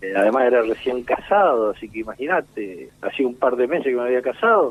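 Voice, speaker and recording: This man talks at a moderate pace at a medium pitch. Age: 60s. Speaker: war veteran. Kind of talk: interview. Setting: phone call.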